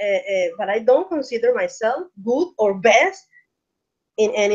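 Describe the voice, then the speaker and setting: A woman with a Spanish accent speaks at a fairly slow pace with lively intonation. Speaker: English learner and English teacher. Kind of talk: online English practice conversation. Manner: halting.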